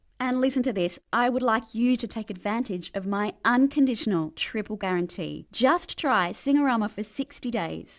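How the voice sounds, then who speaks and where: In an Australian accent, a woman with a fairly high pitch and an upbeat tone speaks at a moderate pace with lively intonation, on a very clean recording with a silent background. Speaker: spokesperson in a sales pitch for a singing course. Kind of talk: casual, colloquial. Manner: upbeat, salesy.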